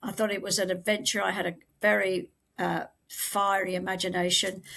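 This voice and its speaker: A woman's bright, sharp tone with vocal fry, monotone, flat intonation and a fairly quick pace. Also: medium pitch for a woman. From England. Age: 70s. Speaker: memoir author. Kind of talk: podcast interview.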